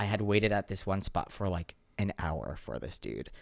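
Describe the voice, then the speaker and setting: Over a quiet background, a man speaks at a fairly low pitch with vocal fry and ordinary pitch variation. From small town. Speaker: comedian. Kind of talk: casual chat.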